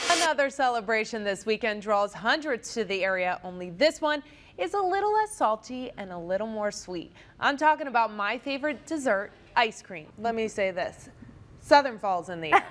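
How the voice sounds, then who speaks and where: Her intonation lively and her pitch fairly high, a woman with an ordinary speaking voice talks at a moderate pace. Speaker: news anchor and reporter. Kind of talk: TV news read.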